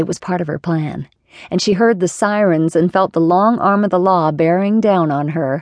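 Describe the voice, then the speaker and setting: In a dramatic tone, a woman speaks at a moderate pace with a fairly low pitch and ordinary pitch variation. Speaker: audiobook narrator. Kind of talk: dramatic audiobook narration of a romance thriller. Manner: dramatic, breathless and suspenseful, building tension in the chase.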